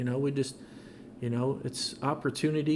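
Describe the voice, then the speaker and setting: Soft-spoken delivery at a moderate pace with fairly even intonation. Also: man. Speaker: car wash industry veteran, product developer. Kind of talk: podcast interview answer.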